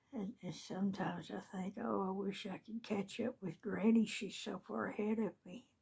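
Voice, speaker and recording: Hardly pausing, a woman with a Southern US accent speaks at medium pitch and a moderate pace with fairly even intonation. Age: 60s. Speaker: video blogger. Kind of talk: casual chat.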